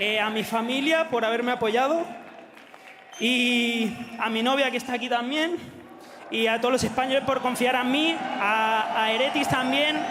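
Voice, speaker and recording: With crowd noise behind him and audible room echo, a man projects his raised voice at an extremely high pitch, keeping a fairly quick pace, very even loudness and ordinary pitch variation, broken by long, frequent pauses. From Spain. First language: Spanish. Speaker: esports pro player. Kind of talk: post-match interview. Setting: stage with audience. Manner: halting.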